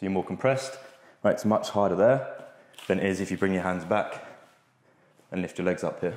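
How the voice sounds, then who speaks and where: Audible room echo colors this recording. A man speaks fairly quickly with a fairly low pitch and ordinary pitch variation. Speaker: fitness coach. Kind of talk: tutorial. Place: gym. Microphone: lapel.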